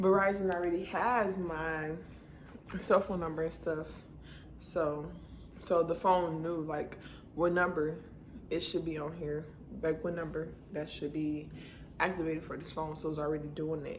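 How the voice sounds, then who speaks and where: A quiet woman with a fairly low pitch and monotone, flat intonation speaks at a moderate pace, with long, frequent pauses and audible room echo. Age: 20s. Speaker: beauty vlogger. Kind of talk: casual vlog unboxing. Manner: quiet, low-key.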